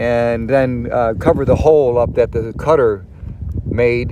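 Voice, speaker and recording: There is noticeable background noise. A man talks through it. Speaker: camping video maker. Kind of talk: tutorial. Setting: outdoors. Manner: loud; casual, halting with fillers.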